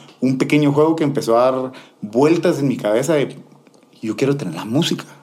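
A man's dark, mellow voice with ordinary pitch variation and audible room echo. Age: 30s. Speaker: DJ. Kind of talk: casual interview.

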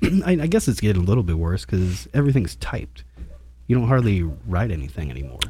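A man speaks very fast in a very deep, low voice with a dark, mellow tone. His pitch swings very widely, and he sounds somewhat breathy. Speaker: podcast host. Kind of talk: casual chat. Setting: studio. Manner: joking, casual.

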